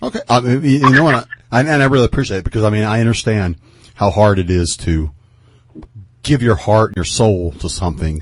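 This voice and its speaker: Very fast and somewhat breathy, a man with a fairly low voice speaks in an American accent. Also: lively intonation. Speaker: radio host. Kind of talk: radio interview. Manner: hesitant, many filler words.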